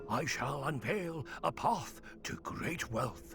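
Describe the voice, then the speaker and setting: A man performs a put-on character voice. Clear background noise is present throughout. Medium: video game. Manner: chuckling, wheedling.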